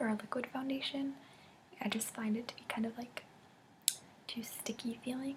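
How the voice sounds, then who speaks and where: A soft-spoken, whispering woman over noticeable background noise. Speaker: makeup vlogger. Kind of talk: casual talk to camera. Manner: soft-spoken, whispery.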